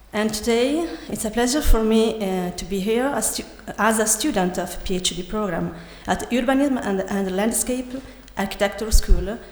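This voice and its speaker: In an Italian accent, a woman speaks at a moderate pace and medium pitch, her pitch varying normally. Noticeable background noise and audible room echo surround her voice. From Italy. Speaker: architect and PhD student. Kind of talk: conference presentation. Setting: conference hall with audience. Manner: halting, many hesitations.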